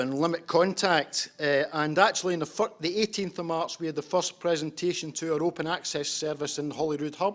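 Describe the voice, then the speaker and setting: This man has a strong Scottish accent and a high pitch. His intonation stays fairly even. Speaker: homeless services practitioner. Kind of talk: conference presentation. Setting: conference with interpreters. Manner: hesitant, with fillers and repetitions.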